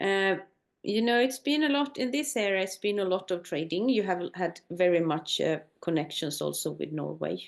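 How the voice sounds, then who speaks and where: A woman's medium-pitched voice with vocal fry, very wide pitch swings and a moderate pace over a quiet background. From northern Sweden, Sami community. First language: Swedish or North Sami. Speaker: Sami tour company owner. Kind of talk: conversation. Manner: halting.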